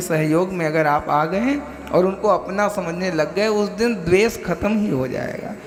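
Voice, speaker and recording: A man with ordinary pitch variation against noticeable background noise. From Bihar, India. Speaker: spiritual preacher. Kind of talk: religious discourse.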